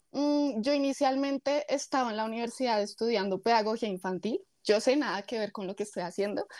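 A woman's voice sits fairly high in pitch, with ordinary variation. It is an unremarkable speaking voice, captured in a very clean recording with a silent background. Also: fairly quick pace. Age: 20s. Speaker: influencer and fitness coach. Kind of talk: interview.

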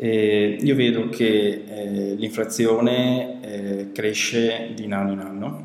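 Someone talks at a very slow pace with ordinary pitch variation amid noticeable background noise. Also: man. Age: 30s. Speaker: founder of a web development company. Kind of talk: testimonial interview. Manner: halting, many fillers.

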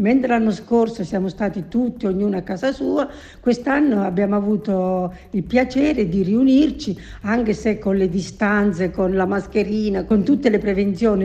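A woman talks at a fairly slow pace with a medium pitch and lively intonation. Her tone is dark and mellow, and somewhat breathy. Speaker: retired baker and grandmother. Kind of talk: interview answers.

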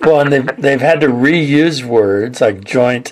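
With an American accent and ordinary pitch variation, a man speaks over noticeable background noise. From California. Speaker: podcast host. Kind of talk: interview.

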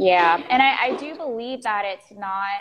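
A woman's medium-pitched voice in an American accent, with ordinary pitch variation. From Florida, US. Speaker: executive coach. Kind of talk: interview conversation.

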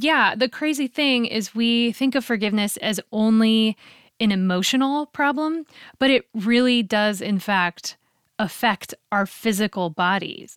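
In a plain, everyday voice, a woman speaks at a fairly slow pace with a fairly high pitch and ordinary pitch variation, the sound dry and close with no echo on a very clean recording with a silent background. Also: very even loudness. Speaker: podcast host and singer. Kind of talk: casual chat.

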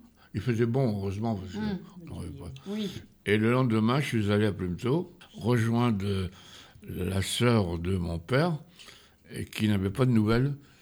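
A man talks at a very slow pace and a fairly low pitch, with long, frequent pauses. His intonation is lively. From France, Normandy countryside. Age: 90s. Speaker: retired farmer. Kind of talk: life-story interview. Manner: halting.

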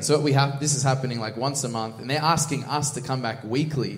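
Talking at a very fast pace with an Australian accent, a man of medium pitch shows ordinary pitch variation amid audible room echo. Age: 20s. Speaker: church minister. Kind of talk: casual interview.

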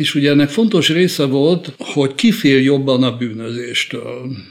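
A fairly high-pitched man at a very slow pace, with ordinary pitch variation amid noticeable background noise. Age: 70s. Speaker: criminology professor. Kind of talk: interview.

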